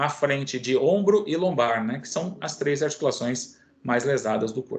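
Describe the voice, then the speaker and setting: An ordinary speaking voice at a moderate pace with ordinary pitch variation, over a quiet background. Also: man. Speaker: physiotherapy lecturer. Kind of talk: online lecture.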